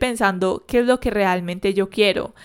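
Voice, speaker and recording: On a very clean recording with a silent background, a woman talks in a normal speaking voice at a moderate pace with fairly even intonation. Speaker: psychologist and podcast host. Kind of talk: solo podcast monologue.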